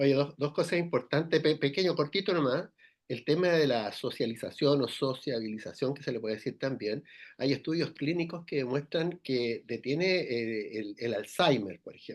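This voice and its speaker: An ordinary speaking voice from a man, fairly high-pitched, with ordinary pitch variation, a moderate pace and a quiet background. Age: 60s. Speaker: radio co-host. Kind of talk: radio interview conversation.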